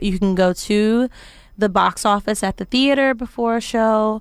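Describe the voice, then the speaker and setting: Fairly slow and fairly even in intonation, a woman of medium pitch talks in a normal speaking voice in a very clean recording with a silent background. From US South, Arkansas. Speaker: stage actress. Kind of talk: radio interview. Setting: studio.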